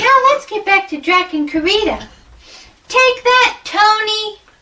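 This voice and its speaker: A woman's squeaky, put-on character voice at an extremely high pitch, fairly slow, with lively intonation. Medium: game stream. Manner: dry, teasing.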